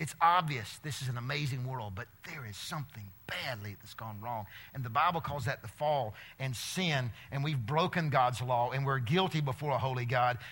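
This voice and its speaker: In an Alabama accent, a man talks at a moderate pace with a medium pitch, ordinary pitch variation, an animated tone and big swings in loudness, on a very clean recording with a silent background. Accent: Southern US (Alabama). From US South, Alabama. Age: 50s. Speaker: preacher and teacher speaking to students. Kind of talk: sermon to a student audience.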